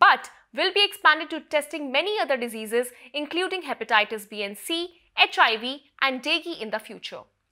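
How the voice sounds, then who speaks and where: A woman with an Indian accent speaks in a raised, projected voice at a fairly quick pace. Her tone is bright and sharp with lively intonation, on a very clean recording with a silent background. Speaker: news presenter. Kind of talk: news reading, formal scripted health bulletin. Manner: formal; steady, measured, even-paced delivery.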